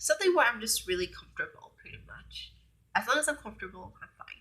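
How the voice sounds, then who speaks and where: A woman talks at a fairly quick pace in a raised, projected voice. Her pitch is high and swings very widely. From Hmong-American community, US. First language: Hmong. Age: 20s. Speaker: beauty vlogger. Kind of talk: casual vlog Q&A. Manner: hesitant, many fillers.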